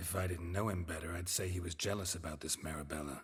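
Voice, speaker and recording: Putting on a character voice, a man talks very fast in a very deep, low pitch with a deadpan tone. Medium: video game. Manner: terse, deadpan.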